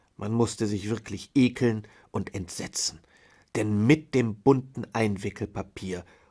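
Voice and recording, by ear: A natural voice reads the text aloud.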